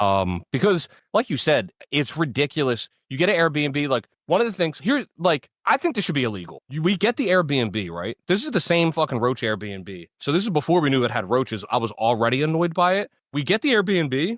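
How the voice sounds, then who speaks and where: A man speaks loudly at a fairly high pitch, his voice making very wide pitch swings. The recording is very clean with a silent background, and the sound is dry and close with no echo. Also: moderate pace. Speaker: podcast co-host. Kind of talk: casual chat.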